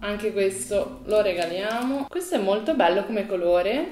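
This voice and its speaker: In a room with audible echo, a woman talks at a fairly slow pace in an animated tone. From Italy. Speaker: beauty vlogger. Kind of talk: casual vlog. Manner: animated, chatty. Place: home room.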